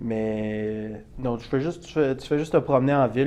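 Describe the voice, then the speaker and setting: With a Quebec accent, a man talks at a fairly slow pace and a medium pitch, using fairly even intonation and a dark, mellow tone. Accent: Québécois. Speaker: college athlete. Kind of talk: interview.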